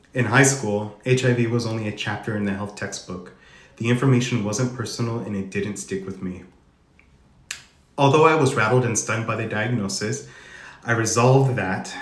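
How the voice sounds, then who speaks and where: A man with an American accent, somewhat breathy, medium in pitch, at a moderate pace with ordinary pitch variation, long and frequent pauses, and audible room echo. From Arizona, US (Tucson). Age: 30s. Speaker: HIV advocate sharing personal story. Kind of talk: reading aloud a personal testimony. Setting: Instagram live stream.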